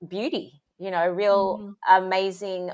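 On a very clean recording with a silent background, a woman speaks at a fairly low pitch with an Australian accent. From Sydney, Australia. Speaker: parenting coach. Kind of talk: interview.

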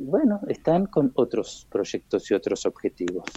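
Recorded dry and close with no echo, a man with a dark, mellow tone talks at a moderate pace. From Argentina. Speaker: war veteran. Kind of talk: interview.

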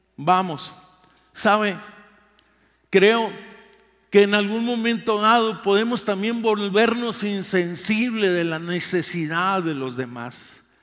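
Very slow and broken by long, frequent pauses, a man's high-pitched voice moves with ordinary pitch variation amid audible room echo. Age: 60s. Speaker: pastor. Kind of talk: sermon.

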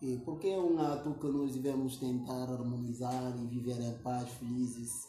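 Against noticeable background noise, a man speaks at a medium pitch and a moderate pace. His intonation is fairly even and he hardly pauses. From Guinea-Bissau. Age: 20s. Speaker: youth activist. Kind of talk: interview conversation.

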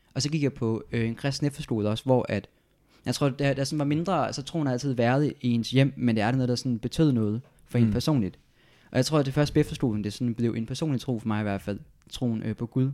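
In a very clean recording with a silent background, a man talks very fast with a dark, mellow tone, medium pitch and ordinary pitch variation. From Denmark, Odense. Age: 20s. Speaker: political science student. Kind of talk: casual interview. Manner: halting.

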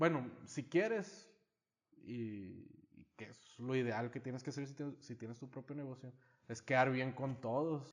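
A normal speaking voice at a fairly slow pace, with ordinary pitch variation and big swings in loudness. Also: man, medium pitch for a man. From United States (Mexican-American, moved to Mexico). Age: 30s. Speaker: small business owner. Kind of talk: casual chat.

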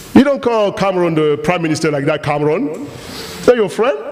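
There is noticeable background noise behind this man. His pitch swings very widely. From Cameroon. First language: French. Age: 40s. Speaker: guest preacher. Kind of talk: sermon. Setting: church with congregation. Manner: animated.

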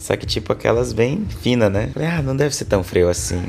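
Music plays in the background. A man speaks over it with lively intonation. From Brazil, Roraima (Boa Vista), later Manaus. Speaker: tech worker, digital nomad. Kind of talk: casual interview. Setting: remote call from a hostel.

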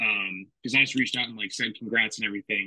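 The sound of this man with a Californian accent is dry and close, with no echo. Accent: Californian American English. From California, Fresno. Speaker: former college football player. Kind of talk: casual interview chat.

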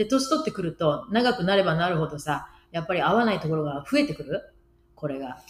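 Her pitch fairly low, a woman talks at a fairly quick pace with very wide pitch swings. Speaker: podcast co-host. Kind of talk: casual chat.

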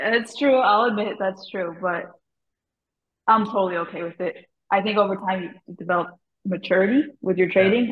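A woman with a plain, everyday voice talks at a fairly quick pace. Her pitch variation is ordinary. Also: medium pitch for a woman. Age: 20s. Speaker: stock trader. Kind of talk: casual chat.

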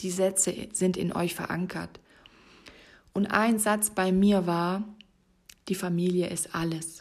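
A woman's very slow, monotone, flat delivery broken by long, frequent pauses. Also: medium pitch for a woman. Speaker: fitness and life coach podcast host. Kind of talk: solo podcast monologue. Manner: stumbling over words.

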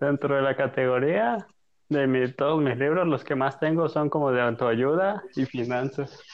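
With an ordinary speaking voice, a man talks at a fairly high pitch, with ordinary pitch variation and very even loudness. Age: 20s. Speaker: podcast guest. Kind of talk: casual chat.

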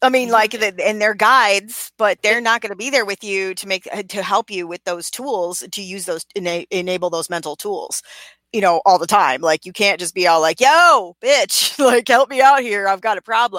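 Bright and sharp in tone, this voice moves at a moderate pace with lively intonation and big swings in loudness, recorded dry and close with no echo on a very clean, silent background. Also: woman, medium pitch for a woman. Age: 40s. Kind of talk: casual chat. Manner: animated.

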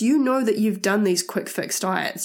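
A woman with a medium-pitched voice talks with a New Zealand accent. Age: 20s. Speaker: podcast host. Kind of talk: casual monologue. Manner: animated.

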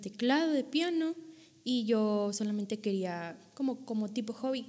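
The woman's pitch is fairly high. Her tone is dark and mellow. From Monterrey, Nuevo León, northern Mexico. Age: 20s. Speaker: author and theology student. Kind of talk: casual interview.

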